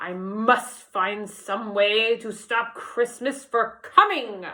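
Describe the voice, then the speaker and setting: Putting on a growling character voice, a woman speaks at a very slow pace in a fairly high pitch, with big swings in loudness. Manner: growling, grumpy.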